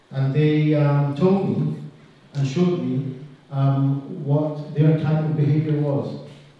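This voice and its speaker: Noticeable background noise and audible room echo surround a man speaking at a very slow pace. His fairly high voice stays monotone, with flat intonation. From Israel. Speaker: clinical social worker. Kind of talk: talk to an audience.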